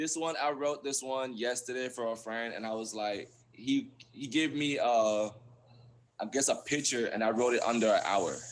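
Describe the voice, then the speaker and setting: With a Belizean accent, a man speaks at a moderate pace with fairly even intonation. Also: medium pitch for a man. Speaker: poet. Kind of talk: reading aloud; casual chat. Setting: live stream.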